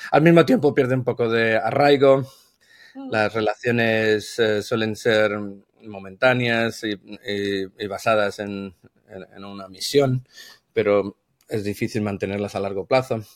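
With an unremarkable speaking voice, a man of medium pitch talks at a fairly slow pace, his intonation fairly even and his loudness swinging widely. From Spain. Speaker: brand consultant. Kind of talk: casual interview.

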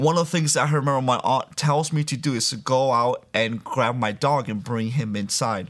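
An unremarkable speaking voice in an American accent moves at a moderate pace with fairly even intonation on a very clean recording with a silent background. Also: man. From Miami, Florida (born Dominican Republic). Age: 30s. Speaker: guest sharing religious testimony. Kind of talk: testimony.

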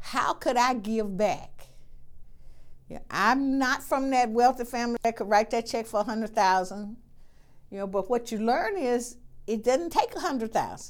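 A high-pitched woman with an Alabama accent at a moderate pace, ordinary pitch variation, in a very clean recording with a silent background. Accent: US Southern (Alabama). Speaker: nursing school dean. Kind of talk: interview.

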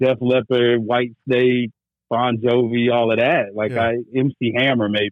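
A man with an American accent, monotone, flat intonation and a fairly slow pace. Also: medium pitch for a man, very even loudness. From North Carolina (military brat, grew up partly in Germany). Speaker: podcast host appearing as guest. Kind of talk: casual chat.

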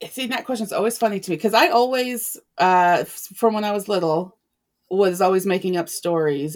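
A woman with an ordinary speaking voice talks at a moderate pace, with ordinary pitch variation. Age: 40s. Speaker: romance author. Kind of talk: casual interview chat.

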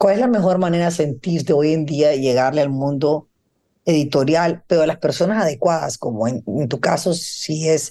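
A woman speaks in a very deep, low voice with a dark, mellow tone. She moves at a fairly quick pace. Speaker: podcast host, co-founder of fashion platform. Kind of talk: casual interview.

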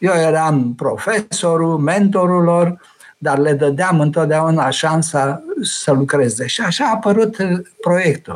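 A man speaks at a very slow pace with ordinary pitch variation. His loudness stays very even. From Romania. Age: 80s+. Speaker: retired teacher and former political prisoner. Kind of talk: interview. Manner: hesitant with fillers.

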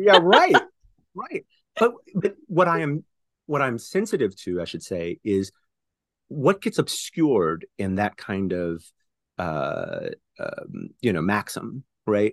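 Over a quiet background, a man with an American accent talks at a very slow pace with long, frequent pauses, the sound dry and close with no echo. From Houston, Texas. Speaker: poet and professor. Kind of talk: interview conversation.

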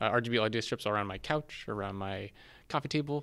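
A man with a Californian accent speaks very fast at a fairly low pitch. His pitch varies in an ordinary way, and the recording is very clean with a silent background. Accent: General Californian American. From US West Coast, San Diego. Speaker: DevOps engineer in games. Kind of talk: casual interview.

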